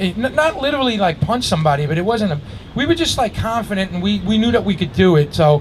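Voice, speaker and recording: Through noticeable background noise, a man with a New York accent talks at a very fast pace in a high pitch with very wide pitch swings. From Astoria, Queens, New York City. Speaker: graffiti writer and musician. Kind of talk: live storytelling to an audience. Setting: outdoors. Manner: casual, conversational.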